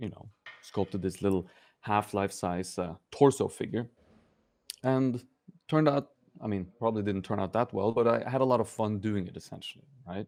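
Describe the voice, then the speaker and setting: A man with a Norwegian accent speaks at a moderate pace in a fairly low pitch, with ordinary pitch variation. His loudness swings widely, and he takes long, frequent pauses. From Norway, Oslo. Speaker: sculptor and sculpture teacher. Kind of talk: interview. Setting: studio. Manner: halting, many fillers.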